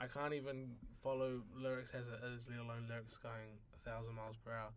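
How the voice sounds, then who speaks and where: The speaker has a New Zealand accent and a fairly quick pace. Intonation stays monotone and flat, with audible room echo. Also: man. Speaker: university student. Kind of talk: casual chat.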